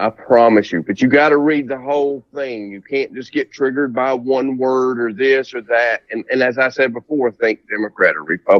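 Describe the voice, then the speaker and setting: Hardly pausing, a man with a Southern US accent and a medium pitch talks at a moderate pace with ordinary pitch variation. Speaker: presidential candidate. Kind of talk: interview.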